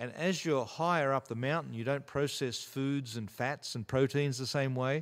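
The speaker has an Australian accent and fairly even intonation, with hardly any pauses. The recording is very clean, with a silent background. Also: man, medium pitch for a man, moderate pace. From rural Australia. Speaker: mountaineer and former special forces soldier. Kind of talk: interview conversation. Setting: studio.

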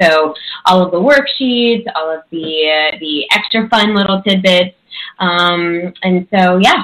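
Her pitch is medium and varies in an ordinary way. The woman talks very slowly. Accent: Chicago. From US Midwest, Chicago. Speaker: coach and author. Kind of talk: interview.

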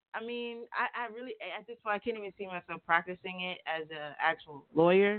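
With ordinary variation in pitch, a woman's speech proceeds at a moderate pace. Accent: American. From North Carolina. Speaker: author and entrepreneur. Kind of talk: radio interview. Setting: radio studio.

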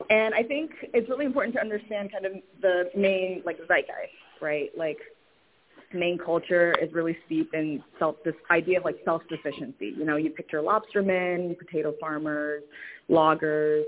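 In an American accent, a woman speaks at a moderate pace with a fairly low pitch and ordinary pitch variation.

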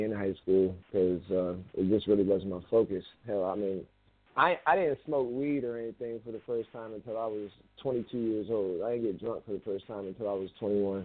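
A man talks in a raspy voice at a fairly low pitch, with an American accent. His pace is moderate and his intonation fairly even.

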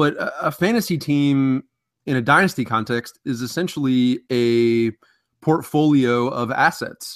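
An unremarkable speaking voice from a man, fairly high in pitch with ordinary pitch variation and a fairly slow pace, dry and close with no echo on a very clean recording with a silent background. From Ohio (Columbus), early childhood in New Jersey. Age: 20s. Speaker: fantasy football analyst and social media editor. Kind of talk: casual interview.

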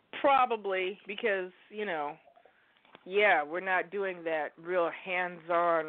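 A woman's very slow speech carries ordinary pitch variation. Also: medium pitch for a woman. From Oregon, US. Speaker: caller. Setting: phone call.

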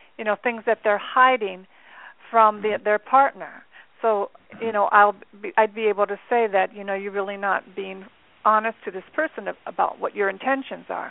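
In an unremarkable speaking voice, a woman talks at a moderate pace and medium pitch, her intonation fairly even but her loudness swinging widely. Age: 60s. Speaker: angel card reader and life coach. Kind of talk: interview.

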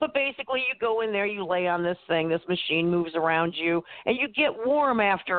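With lively intonation and a fairly quick pace, a woman talks in an unremarkable speaking voice. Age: 50s. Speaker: author and pagan high priestess. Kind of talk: casual chat.

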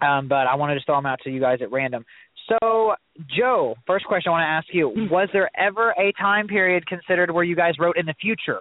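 Talking very fast, a man with an American accent uses a high pitch and lively intonation. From US Midwest, Southeast Missouri. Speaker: guest host and book reviewer. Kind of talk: author interview.

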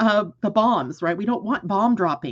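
Using an unremarkable speaking voice, a woman talks at a medium pitch and a moderate pace with lively intonation. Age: 60s. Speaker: astrologer and show host. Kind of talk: live solo astrology broadcast. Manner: casual, conversational.

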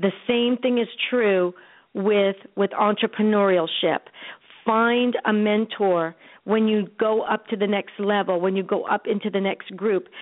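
An energetic, fairly slow woman's voice of medium pitch with an American accent, very even in loudness. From Europe (US military family). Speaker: author and life coach. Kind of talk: interview. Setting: internet radio.

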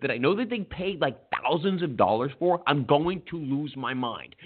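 This man has a plain, everyday voice, pitched fairly high, with lively intonation at a moderate pace. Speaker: sports radio host. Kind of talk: casual sports talk show banter.

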